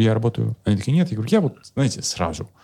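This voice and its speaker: A man speaks very fast at a medium pitch. His tone is dark and mellow, somewhat breathy. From Kemerovo, Siberia, Russia. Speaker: psychologist and comedian. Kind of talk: casual chat with jokes and swearing. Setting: video podcast. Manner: animated, humorous, joking.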